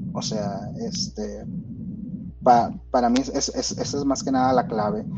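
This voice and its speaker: Music plays behind a man with a Mexican accent who talks fairly slowly at a medium pitch with lively intonation. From Mexico. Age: 30s. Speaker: software engineer. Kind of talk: casual interview. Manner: halting, many fillers.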